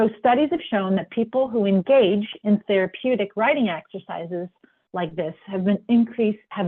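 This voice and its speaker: With ordinary rises and falls in pitch, an unremarkable speaking voice proceeds at a moderate pace. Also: woman. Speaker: wellness webinar presenter. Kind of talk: webinar presentation. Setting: online webinar with sign language interpreter.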